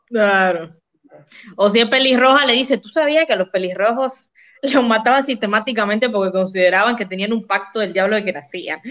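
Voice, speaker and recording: A woman with an unremarkable speaking voice talks at a fairly quick pace and fairly high pitch. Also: ordinary pitch variation. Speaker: podcast co-host. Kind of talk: casual livestream chat.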